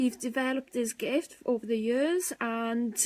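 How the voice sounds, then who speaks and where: A woman with a high pitch talks with fairly even intonation, the sound dry and close with no echo. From Wales. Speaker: paranormal investigator, team co-founder. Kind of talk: live stream chat. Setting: live video stream. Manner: casual, hesitant with fillers.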